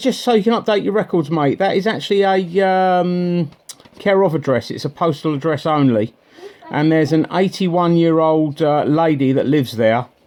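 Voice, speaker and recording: A man speaks in a high voice at a moderate pace. Noticeable background noise runs underneath. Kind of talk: phone call to a bailiff company. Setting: phone line. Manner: assertive, confrontational.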